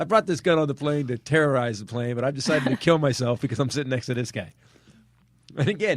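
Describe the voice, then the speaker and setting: Here a man talks at a fairly quick pace. His fairly high voice has lively intonation. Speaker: comedian. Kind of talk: casual chat. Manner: animated.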